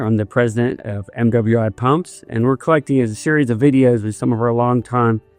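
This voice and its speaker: Music plays behind a man speaking in a medium pitch with fairly even intonation, the sound dry and close with no echo. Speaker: company president. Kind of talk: casual interview conversation.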